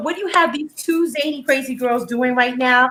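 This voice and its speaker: A woman with an American accent speaks at a fairly quick pace. Her high-pitched voice has a bright, sharp tone and ordinary pitch variation. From California, with Texas ties. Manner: energetic, playful, jokey.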